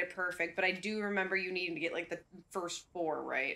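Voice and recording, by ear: With fairly even intonation, someone reads aloud in a natural voice.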